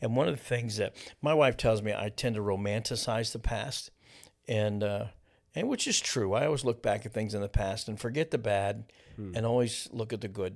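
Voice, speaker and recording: A man with a normal speaking voice talks at a medium pitch and moderate pace with fairly even intonation. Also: very clean recording, silent background. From eastern Kentucky (Ashland), moved to Ohio as a child. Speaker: pastor. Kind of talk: casual interview.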